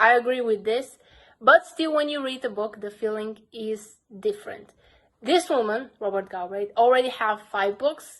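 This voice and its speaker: Speaking in a Bulgarian accent, a woman keeps a moderate pace. Her fairly high voice shows ordinary pitch variation. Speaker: book vlogger. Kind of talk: casual vlog talk.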